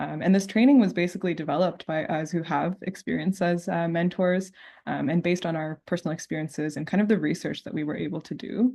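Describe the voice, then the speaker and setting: A woman with a fairly low pitch and vocal fry talks at a very fast pace, barely pausing, her pitch varying in an ordinary way. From Canada. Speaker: diabetes committee co-host. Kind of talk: online event presentation.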